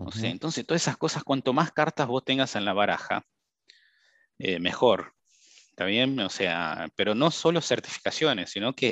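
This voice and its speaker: With a bright, sharp tone and lively intonation, a man speaks at a moderate pace in a dry, close sound with no echo. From Brazil. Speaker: cybersecurity professional. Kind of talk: interview.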